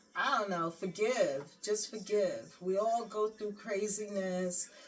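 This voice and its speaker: Music plays in the background as a woman talks in an animated tone at a fairly slow pace. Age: 60s. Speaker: lifestyle vlogger. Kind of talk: casual chat.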